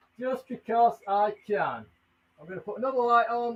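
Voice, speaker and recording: A man speaks with an English accent. His pitch is extremely high. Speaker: tarantula keeper and live streamer. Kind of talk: live stream tutorial. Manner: loud; animated.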